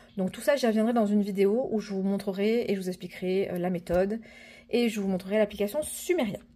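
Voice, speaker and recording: Her voice is medium-pitched, dark and mellow. The woman talks at a fairly quick pace with fairly even intonation. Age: 30s. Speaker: personal finance vlogger. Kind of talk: casual vlog. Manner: hesitant, many fillers (euh).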